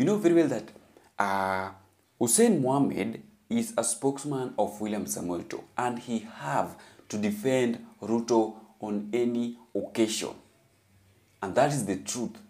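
Lively intonation marks this man's dark, mellow voice. He talks at a fairly slow pace with long, frequent pauses. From Kenya. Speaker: YouTube political commentator. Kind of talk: news commentary. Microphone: phone near.

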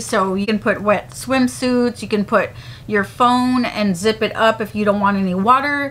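With fairly even intonation, a woman keeps a moderate pace. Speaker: beauty vlogger. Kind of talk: casual vlog chat. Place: home room.

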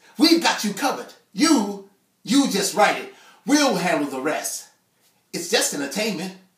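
A high-pitched man with an American accent and very wide pitch swings, audible room echo, quiet background. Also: fairly slow pace, big swings in loudness. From Chicago. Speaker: spoken word artist. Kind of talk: spoken word poetry performance. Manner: rhythmic, emphatic. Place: home room. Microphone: camera far.

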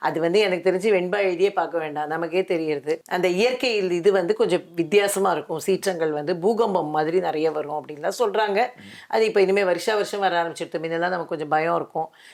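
In a very clean recording with a silent background, a woman speaks in a normal speaking voice with fairly low pitch and ordinary pitch variation. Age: 60s. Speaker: interviewer. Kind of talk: interview.

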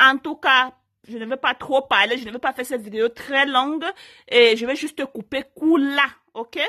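A woman uses a raised, projected voice with high pitch and a bright, sharp tone. She keeps a moderate pace and ordinary pitch variation against a quiet background. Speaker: YouTuber giving relationship advice; channel host. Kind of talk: story time vlog. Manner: naturally loud, forceful voice; hesitant, many fillers. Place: home room.

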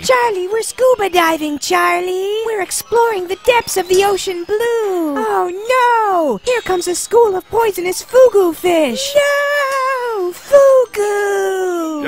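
A put-on character voice at an extremely high pitch and fairly slow pace, with clear background noise. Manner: high-pitched, overexcited, melodramatic.

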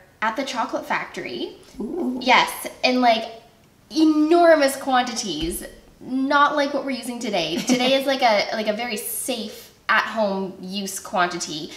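High-pitched woman's voice at a fairly slow pace, with audible room echo. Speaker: guest. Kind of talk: casual cooking show chat. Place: kitchen.

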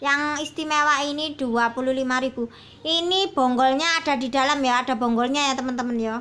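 This woman talks at a fairly quick pace in a high pitch, keeping her intonation fairly even. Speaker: online plant seller; plant seller. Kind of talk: sales pitch. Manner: casual. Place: garden. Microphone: phone near.

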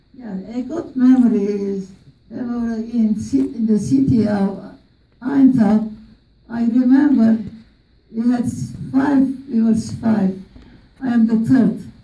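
A woman with an Armenian accent and fairly high pitch, at a very slow pace with long, frequent pauses, in audible room echo. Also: ordinary pitch variation. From Turkey, Armenian community. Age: 80s+. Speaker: genocide survivor; interviewee. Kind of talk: testimony. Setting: stage with audience. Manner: talkative. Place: classroom.

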